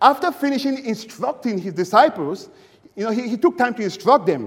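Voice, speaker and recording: A man's voice at an extremely high pitch. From Cameroon. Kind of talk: sermon. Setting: church.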